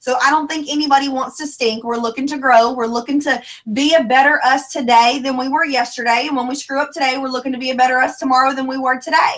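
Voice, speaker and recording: A high-pitched woman talks at a very fast pace with hardly any pauses. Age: 20s. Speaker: former teacher and network marketer. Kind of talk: motivational talk. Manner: animated.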